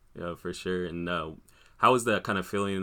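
A bright, sharp tone comes through at a fairly quick pace with monotone, flat intonation on a very clean recording with a silent background. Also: man. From Des Moines, Iowa. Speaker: podcast host, vintage clothing seller. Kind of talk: casual interview.

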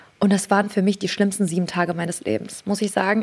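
Medium-pitched woman at a very fast pace. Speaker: beauty entrepreneur. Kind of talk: casual chat.

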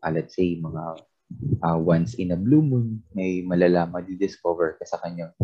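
A man with a very deep, low pitch is speaking. His pace is moderate and his pitch variation ordinary. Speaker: podcast co-host. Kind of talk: casual chat. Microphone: weak internet connection.

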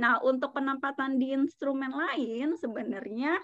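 Over a quiet background, a woman speaks at a moderate pace in a high pitch with ordinary pitch variation. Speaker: financial advisor. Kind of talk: casual interview chat about personal finance.

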